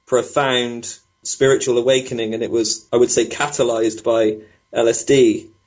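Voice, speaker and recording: A man with a British accent speaks at medium pitch and a moderate pace. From Britain. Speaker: spiritual technologist, former PhD researcher. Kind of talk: interview.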